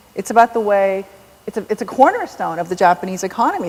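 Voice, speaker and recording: Noticeable background noise runs through the clip. The woman speaking has a medium pitch. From South Korea, raised in US from age seven. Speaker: novelist. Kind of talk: onstage author conversation. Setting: stage with large audience.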